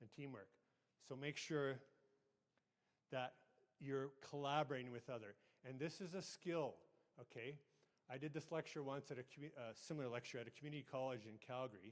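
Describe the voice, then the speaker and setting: This man speaks at a fairly quick pace with a western Canadian accent and medium pitch. His pitch varies in an ordinary way, broken by long, frequent pauses. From Canada, southern Alberta. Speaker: IT manager and conference speaker. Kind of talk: conference presentation. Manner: fast; conversational, hesitant fillers.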